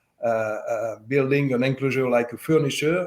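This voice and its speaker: This man's pitch is medium and varies in an ordinary way. He talks at a moderate pace. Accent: slight French. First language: French. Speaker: speaker manufacturer representative. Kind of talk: interview. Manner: halting, many fillers.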